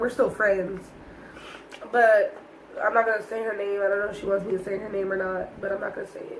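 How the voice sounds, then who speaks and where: Over noticeable background noise, a woman speaks at a fairly quick pace and a medium pitch, with big swings in loudness. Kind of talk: casual storytime talk to camera.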